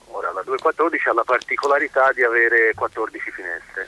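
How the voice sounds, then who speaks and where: A man in a dry, close sound with no echo, over noticeable background noise. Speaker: hotel owner. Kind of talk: radio interview.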